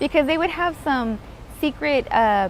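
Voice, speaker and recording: With an American accent, a woman talks with ordinary pitch variation. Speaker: real estate investor. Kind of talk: interview. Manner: fast; animated.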